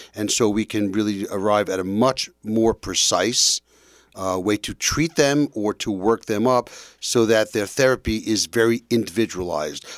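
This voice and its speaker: On a very clean recording with a silent background and a dry, close sound with no echo, a man speaks with an American accent. He has an unremarkable speaking voice, fairly low in pitch with ordinary variation, at a moderate pace. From New York. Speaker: family physician. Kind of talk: radio interview.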